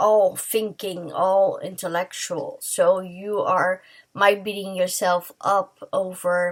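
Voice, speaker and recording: A woman speaks in a somewhat breathy voice. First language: not English. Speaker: tarot reader. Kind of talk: tarot reading to camera. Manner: halting, many fillers and restarts.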